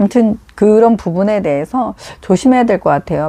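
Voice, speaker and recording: The woman's voice has a dark, mellow tone. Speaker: live streamer offering advice. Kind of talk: casual live stream chat. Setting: at home. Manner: halting, many fillers.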